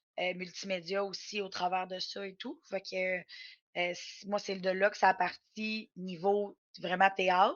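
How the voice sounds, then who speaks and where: A woman talks at a very slow pace with hardly any pauses, her medium pitch held in a monotone, flat intonation. Her loudness swings widely from moment to moment. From Quebec, Mauricie (Shawinigan, Trois-Rivières). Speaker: professional wrestler. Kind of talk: interview. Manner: hesitant, many fillers.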